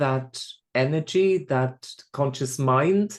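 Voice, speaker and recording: A man with a Swiss accent speaks at a fairly high pitch against a quiet background. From Switzerland. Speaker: spiritual medium. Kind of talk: podcast interview. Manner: repeats words, halting starts.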